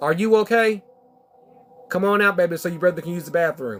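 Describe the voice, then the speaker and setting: A high-pitched man with an American accent at a fairly quick pace, music in the background. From Texas. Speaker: spiritual card reader. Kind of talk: live-stream oracle card reading.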